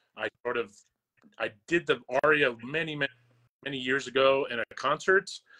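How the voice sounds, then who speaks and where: A man's fairly quick, medium-pitched delivery with a bright, sharp tone and an American accent. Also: dry, close sound with no echo. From New York / New Jersey area, US. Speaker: opera singer. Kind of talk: casual interview chat.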